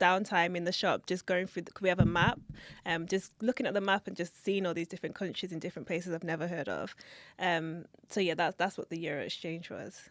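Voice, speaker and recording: A woman with a London accent speaks at a fairly quick pace, her pitch fairly low and her intonation fairly even, though her loudness swings widely. The recording is very clean with a silent background, and the sound is dry and close with no echo. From London, England. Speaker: assistant investment manager. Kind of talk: interview. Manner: quiet, reserved; hesitant, many fillers.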